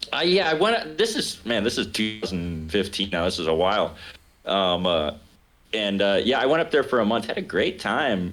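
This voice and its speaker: Over music in the background, a man with an American accent and a fairly low pitch speaks at a moderate pace, his pitch swinging very widely. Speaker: jazz pianist and local politician. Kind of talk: casual chat.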